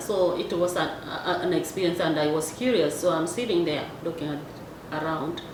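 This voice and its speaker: A woman's fairly low voice in a Kenyan accent, lively intonation at a moderate pace, with audible room echo and noticeable background noise. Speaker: vlogger. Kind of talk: casual monologue. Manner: halting.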